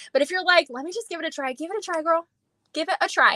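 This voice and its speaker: A woman with an animated, bright and sharp tone speaks at a very fast pace in a raised, projected voice, the sound dry and close with no echo. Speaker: beauty sales director. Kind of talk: live stream sales pitch. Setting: live video call.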